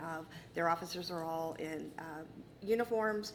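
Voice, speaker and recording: A woman with an American accent speaks at a fairly low pitch, with audible room echo. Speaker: prosecutor arguing appeal. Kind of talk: appellate oral argument. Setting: courtroom. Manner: fast.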